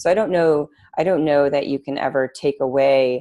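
Speaking at a moderate pace, a woman has a very deep, low pitch, ordinary pitch variation and a dark, mellow tone. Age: 30s. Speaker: former rower, rowing coach and exercise physiologist. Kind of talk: casual interview.

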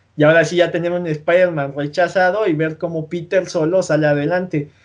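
The background stays quiet. A man's voice sits at a high pitch. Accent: Mexican. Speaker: podcast host. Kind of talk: casual chat.

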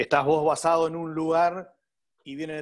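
A man with a Uruguayan accent speaks at a moderate pace and a fairly high pitch. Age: 40s. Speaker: hotel manager. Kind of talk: interview.

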